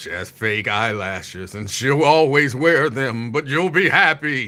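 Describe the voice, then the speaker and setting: A put-on character voice moves at a fairly slow pace. Its tone is solemn. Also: man, medium pitch for a man. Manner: solemn, authoritative with presence.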